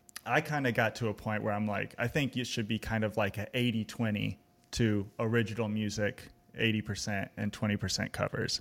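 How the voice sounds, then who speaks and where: A man's plain, everyday voice, fairly low and fairly quick, with fairly even intonation and an American accent, in a very clean recording with a silent background. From Texas, Austin. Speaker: songwriter and music educator. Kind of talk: casual chat.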